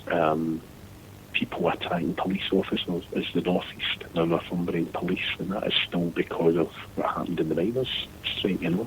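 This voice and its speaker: There is noticeable background noise as a man with a Scottish accent speaks in a very deep, low pitch with fairly even intonation. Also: moderate pace. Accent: Scottish, Lanarkshire. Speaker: former seafarer. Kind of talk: casual chat.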